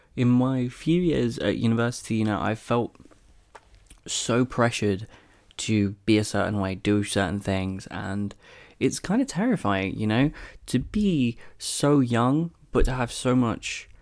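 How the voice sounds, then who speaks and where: In an English accent, a man talks at a fairly slow pace with medium pitch. His pitch varies in an ordinary way, and the recording is very clean with a silent background. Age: 20s. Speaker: podcast host. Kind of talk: casual monologue. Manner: hesitant.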